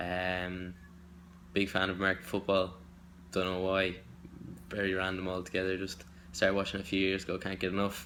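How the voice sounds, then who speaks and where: Through audible room echo, a man with a Dublin accent and a very deep, low pitch speaks in a bright, sharp tone with monotone, flat intonation, at a fairly quick pace broken by long, frequent pauses. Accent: Irish (Dublin). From Ireland. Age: 20s. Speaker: audition hopeful, business student. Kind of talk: self-tape audition monologue. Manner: halting, many fillers.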